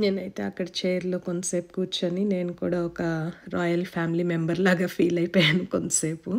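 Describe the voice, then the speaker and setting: This woman speaks at a medium pitch. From Telangana, India. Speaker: travel vlogger. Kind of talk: casual travel vlog narration.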